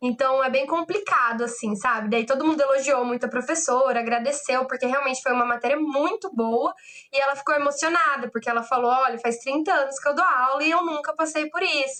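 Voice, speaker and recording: Projected and raised, a woman's high voice has a bright, sharp tone. She keeps a fairly quick pace at very even loudness. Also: ordinary pitch variation, hardly any pauses. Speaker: law lecturer. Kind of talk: online lecture. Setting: online class.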